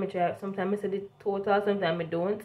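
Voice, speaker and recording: A woman speaks fairly quickly, her pitch medium. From Jamaica. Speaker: vlogger, work and travel student; vlogger. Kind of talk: casual vlog storytelling. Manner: animated. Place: home room. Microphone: phone near.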